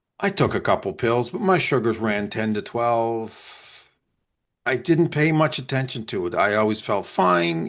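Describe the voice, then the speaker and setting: Against a quiet background, a man talks in a plain, everyday voice at a medium pitch, his intonation lively. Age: 50s. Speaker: podcast co-host. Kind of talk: casual chat.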